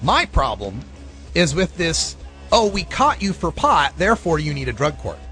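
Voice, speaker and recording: Music plays behind a man speaking at a moderate pace. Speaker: radio show host, marijuana advocate. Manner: loud, projecting.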